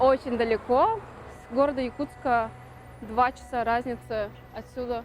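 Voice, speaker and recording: Fairly slow, monotone, flat delivery with long, frequent pauses and noticeable background noise. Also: woman. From Yakutia, Momsky district. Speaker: dancer. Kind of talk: casual documentary talk.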